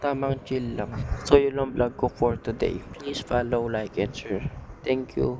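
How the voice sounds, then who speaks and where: A soft-spoken man talks at a moderate pace. There is noticeable background noise. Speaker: vlogger, father of baby. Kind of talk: casual vlog narration. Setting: church.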